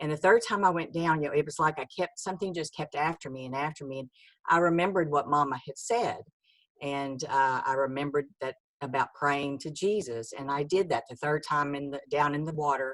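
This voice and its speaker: In a Texan accent, a woman speaks fairly quickly in a very deep, low voice, with ordinary pitch variation and big swings in loudness. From Texas, rural. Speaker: author. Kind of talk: testimony. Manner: halting, many fillers.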